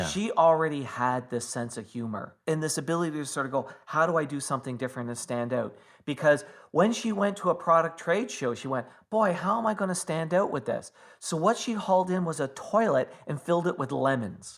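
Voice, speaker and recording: Fairly high pitch from a man with a normal speaking voice, lively intonation and a fairly quick pace, in a very clean recording with a silent background. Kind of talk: podcast storytelling.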